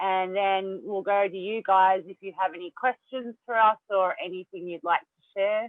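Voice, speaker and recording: A woman with an Australian accent at a medium pitch and moderate pace, with fairly even intonation, big swings in loudness and hardly any pauses. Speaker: mental health speaker. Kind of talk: presentation. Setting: video call.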